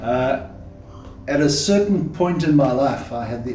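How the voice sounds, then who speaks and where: Speaking at a moderate pace with an American accent, a man swings very widely in pitch over noticeable background noise and audible room echo. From South Africa. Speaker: church member sharing testimony. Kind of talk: testimony.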